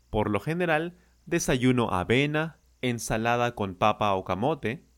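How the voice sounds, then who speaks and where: Pitch swings are very wide while the speech keeps a moderate pace. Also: man. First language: Spanish. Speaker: Spanish teacher. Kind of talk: language lesson.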